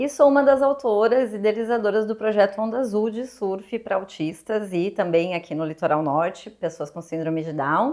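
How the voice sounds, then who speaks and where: Speaking in a southern Brazilian accent, a woman uses lively intonation at medium pitch. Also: moderate pace, hardly any pauses. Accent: gaúcho (southern Brazilian). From Rio Grande do Sul, Brazil (Porto Alegre). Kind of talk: interview.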